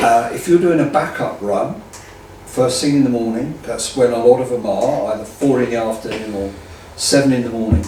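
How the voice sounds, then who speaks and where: An English accent at a moderate pace, ordinary pitch variation, audible room echo and noticeable background noise. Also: man, medium pitch for a man. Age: 60s. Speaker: drag racer and land speed racing enthusiast. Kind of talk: interview. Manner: animated.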